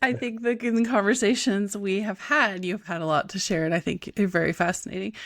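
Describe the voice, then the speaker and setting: A fairly quick pace, a bright, sharp tone and lively intonation. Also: woman, hardly any pauses. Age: 40s. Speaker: podcast host. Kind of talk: podcast interview.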